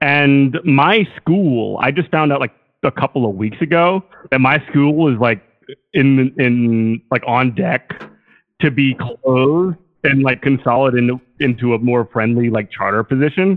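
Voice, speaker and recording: An ordinary speaking voice, this man's medium pitch carries ordinary pitch variation at a fairly slow pace and very even loudness. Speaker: caller. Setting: phone call.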